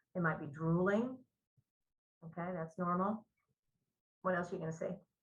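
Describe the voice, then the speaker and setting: A woman's somewhat breathy, fairly low voice at a moderate pace, with ordinary pitch variation. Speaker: nursing instructor. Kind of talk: lecture.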